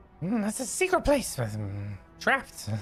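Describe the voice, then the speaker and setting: A put-on character voice moves at a moderate pace over faint music in the background. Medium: actual play. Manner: sly, possessive, hungry.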